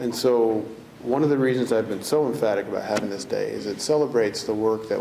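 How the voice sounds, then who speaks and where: A soft-spoken man at medium pitch, fairly quick pace and fairly even intonation, over noticeable background noise. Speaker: corrections commissioner. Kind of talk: ceremony speech. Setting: ceremony with audience.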